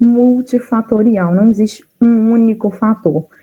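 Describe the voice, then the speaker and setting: Speaking with a Minas Gerais accent, a woman talks at a moderate pace in a fairly high pitch. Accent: mineiro Brazilian Portuguese. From Brazil, Minas Gerais. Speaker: nutritionist. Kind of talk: casual talk; lecture.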